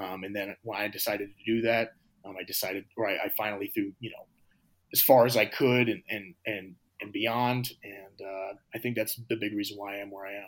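A man with an American accent talks fairly quickly at a fairly low pitch, his intonation monotone and flat while his loudness swings widely. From USA. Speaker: professional shot putter. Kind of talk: interview. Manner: halting, many fillers.

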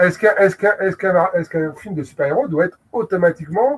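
Lively intonation from a man speaking at a moderate pace. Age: 40s. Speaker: film video publisher. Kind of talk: casual chat. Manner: halting, many repetitions and fillers.

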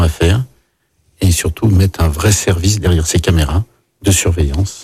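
Somewhat breathy, a man talks with a very deep, low pitch and a dark, mellow tone. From France, Lyon. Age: 50s. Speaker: chef and mayoral candidate. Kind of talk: radio interview.

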